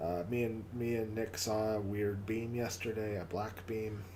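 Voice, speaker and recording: The speech moves at a very slow pace. Room echo is audible, and background noise is noticeable. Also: man. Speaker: livestream host. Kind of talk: casual livestream chat. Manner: halting, repeats words.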